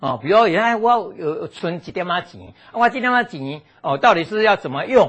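In an animated tone, a man talks at a moderate pace with a high pitch and very wide pitch swings. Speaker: physical therapist giving health lecture. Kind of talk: lecture. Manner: animated, frequent fillers.

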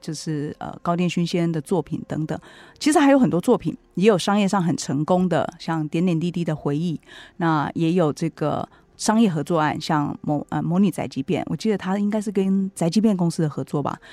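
On a very clean recording with a silent background and a dry, close sound with no echo, a woman with a Taiwanese accent speaks at a fairly low pitch and a fairly quick pace, with a dark, mellow tone and ordinary pitch variation. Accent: Taiwanese Mandarin. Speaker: radio host and book editor. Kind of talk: book review talk. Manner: frequent fillers and hesitations.

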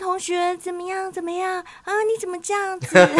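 An extremely high put-on character voice speaks at a moderate pace. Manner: scolding.

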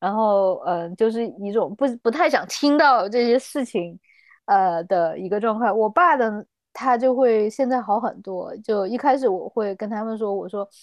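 A woman at a fairly high pitch, with ordinary pitch variation and a fairly slow pace. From China, Chengdu, Sichuan. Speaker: health improvement practitioner and skydiver. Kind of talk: interview. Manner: hesitant, many fillers.

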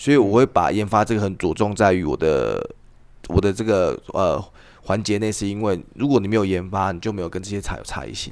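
A voice with vocal fry moves at a fairly quick pace, its pitch varying in an ordinary way. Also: man. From Taiwan. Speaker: tea farmer. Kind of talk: casual chat.

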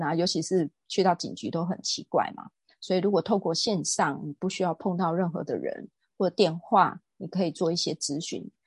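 Against a quiet background, a woman speaks somewhat breathily at a fairly low pitch and moderate pace, with fairly even intonation and a dry, close sound with no echo. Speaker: real estate agent and lecturer. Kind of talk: interview.

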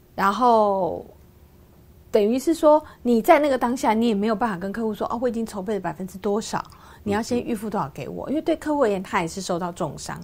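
Lively intonation and a very fast pace mark this voice with a Taiwanese accent. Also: woman, fairly high pitch for a woman. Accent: Taiwanese Mandarin. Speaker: businesswoman and author. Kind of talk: interview. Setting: radio studio.

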